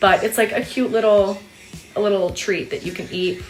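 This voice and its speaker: She speaks at a very fast pace with a fairly high pitch. Noticeable background noise runs underneath. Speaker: study abroad student. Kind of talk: casual vlog Q&A. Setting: her room.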